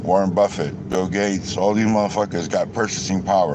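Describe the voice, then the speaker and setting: Over noticeable background noise, a man speaks in an angry tone with a fairly low pitch and fairly even intonation. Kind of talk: casual rant to camera. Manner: angry, profane.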